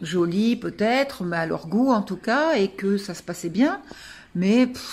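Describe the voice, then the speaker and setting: Lively intonation from a woman whose voice is somewhat breathy. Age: 60s. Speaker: client giving testimonial. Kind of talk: testimony. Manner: hesitant, many fillers.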